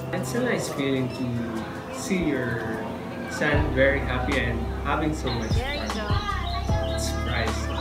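A man speaks at a fairly slow pace with long, frequent pauses while music plays in the background. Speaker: parent vlogger. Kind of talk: casual vlog chat. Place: hall. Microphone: phone near.

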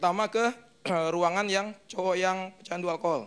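Here a man with a high pitch speaks at a moderate pace in a fairly bright, clear, smooth tone with fairly even intonation.

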